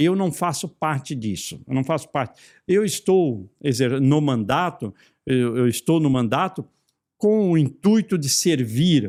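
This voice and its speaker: The man's voice is fairly high, lively in intonation, and fairly slow in pace. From Santa Catarina, southern Brazil. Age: 60s. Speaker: federal congressman. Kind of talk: interview. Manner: hesitant, with repetitions.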